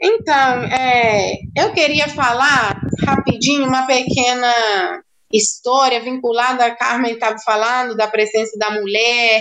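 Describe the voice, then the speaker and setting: The woman's voice sits high in pitch with fairly even intonation. She speaks at a fairly slow pace. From central rural Cuba. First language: Spanish (speaking Portuguese). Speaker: doctor. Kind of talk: interview.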